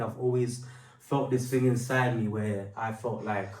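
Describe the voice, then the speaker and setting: Noticeable background noise and audible room echo surround a man's speech. His medium-pitched voice stays monotone and flat. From London. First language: Portuguese. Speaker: rapper and singer. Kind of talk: testimony. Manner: casual, with many fillers.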